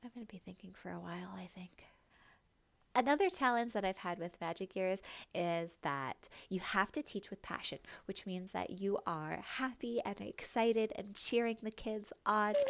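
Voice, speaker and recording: Her medium-pitched voice moves at a moderate pace with ordinary pitch variation, and the woman is captured on a very clean recording against a silent background. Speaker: online English teacher. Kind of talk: casual vlog monologue. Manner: animated when teaching.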